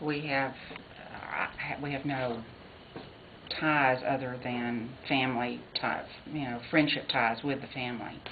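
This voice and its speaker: Delivered in a Texan accent at a very slow pace, the speech has monotone, flat intonation. Noticeable background noise and audible room echo are present. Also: woman, very deep, low pitch for a woman. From Texas. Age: 60s. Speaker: interviewee, former Jasper resident. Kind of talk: research interview.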